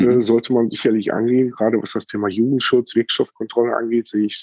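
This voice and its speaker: This man has an ordinary speaking voice at a medium pitch. His pitch variation is ordinary. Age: 40s. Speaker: chronic pain patient and cannabis medicine advisor. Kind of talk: interview testimony.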